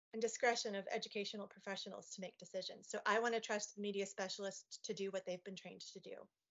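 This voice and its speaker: Fairly even intonation carries the speaker along at a fairly quick pace. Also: woman. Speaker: parent on education work group. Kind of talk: slide presentation in virtual meeting. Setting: video call. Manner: fast; hesitant, many fillers.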